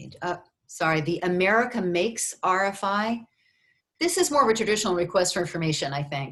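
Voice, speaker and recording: An unremarkable speaking voice from a woman, medium in pitch, fairly quick, with lively intonation and big swings in loudness. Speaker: university research funding advisor. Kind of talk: webinar presentation. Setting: video conference.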